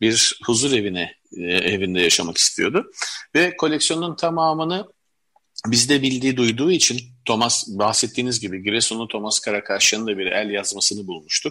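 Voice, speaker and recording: A man talks at medium pitch and a moderate pace. His tone is bright and sharp, with lively intonation. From Istanbul, Turkey (Levantine family). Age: 50s. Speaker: collector and publisher. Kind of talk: interview.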